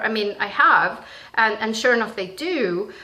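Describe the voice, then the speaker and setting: Loud and bright, with a sharp tone and lively intonation, the voice moves at a moderate pace amid audible room echo. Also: woman. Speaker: spiritual vlogger and teacher. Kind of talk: casual monologue vlog. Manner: halting, many fillers and restarts.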